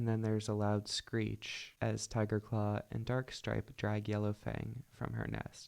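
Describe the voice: Simply plain reading aloud.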